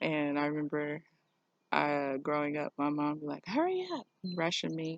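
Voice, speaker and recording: The sound is dry and close, with no echo. The pace is fairly slow. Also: woman. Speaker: spiritual vlogger. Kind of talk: personal vlog monologue. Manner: halting.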